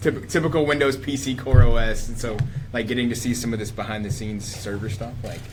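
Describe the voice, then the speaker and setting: Over music in the background and audible room echo, a man talks at a fairly quick pace and medium pitch, with ordinary pitch variation and big swings in loudness. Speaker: webcast host. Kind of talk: panel discussion on webcast. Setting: live video webcast.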